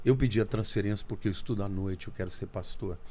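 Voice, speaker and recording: Talking at a very fast pace, a man keeps a fairly low pitch with ordinary pitch variation. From Brazil, interior of São Paulo state (Olímpia). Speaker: pastor and theologian. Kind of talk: testimony.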